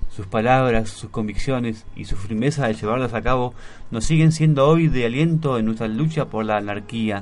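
This is a man with an ordinary speaking voice at a medium pitch. He talks at a moderate pace with ordinary pitch variation. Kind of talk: radio chat with poem reading.

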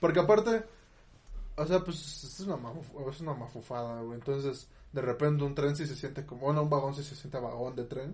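Fairly high in pitch, a man talks at a fairly quick pace and sounds somewhat breathy. His loudness swings widely, and his pitch varies in an ordinary way. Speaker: podcast co-host. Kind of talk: casual chat.

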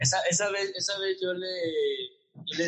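A man speaks with a northern Mexican accent and ordinary pitch variation. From Mexico, Nuevo León (Monterrey area). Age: 30s. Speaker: salesman and stage actor. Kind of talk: casual chat. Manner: halting, many fillers.

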